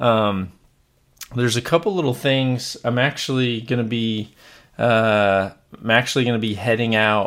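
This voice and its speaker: Fairly even intonation from a man in a very clean recording with a silent background. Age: 40s. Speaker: archery podcast host. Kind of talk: casual solo podcast talk. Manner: halting, many fillers.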